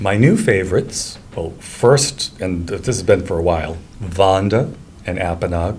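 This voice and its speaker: A man with a Rhode Island accent talks at a fairly slow pace, his pitch very deep and low with ordinary variation. Noticeable background noise and audible room echo fill the recording. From Rhode Island, Cranston. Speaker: real estate agent. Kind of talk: casual chat.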